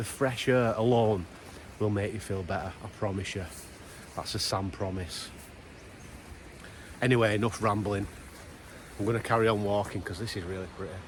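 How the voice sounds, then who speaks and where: A man with a strong Lancashire accent and a fairly low pitch speaks at a moderate pace with fairly even intonation. He takes long, frequent pauses, and the room echo is audible. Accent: strong Wigan Lancashire. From Wigan, Lancashire, northern England. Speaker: outdoor vlogger. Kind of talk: casual vlog talk to camera. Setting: outdoors, walking in a valley.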